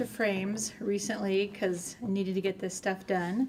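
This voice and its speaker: An American accent comes from a woman with a fairly high pitch. She keeps a moderate pace over noticeable background noise. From West Texas (Lubbock). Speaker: cross stitch shop staff. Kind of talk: casual chat.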